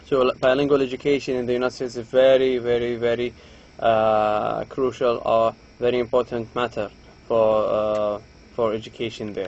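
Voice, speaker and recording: In an Arabic accent, a man speaks at a moderate pace and medium pitch with monotone, flat intonation. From Saudi Arabia. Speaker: lecturer. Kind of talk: lecture.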